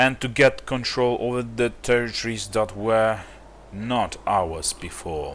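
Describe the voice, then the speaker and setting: A man with a non-native accent speaks at a fairly slow pace. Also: medium pitch for a man, ordinary pitch variation. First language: not English. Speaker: gaming youtuber. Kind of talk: gameplay commentary. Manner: halting.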